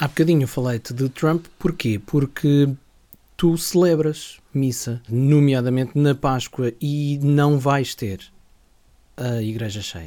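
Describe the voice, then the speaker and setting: A man's dark, mellow voice at a fairly high pitch, a very slow pace and ordinary pitch variation. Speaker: radio host. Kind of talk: interview.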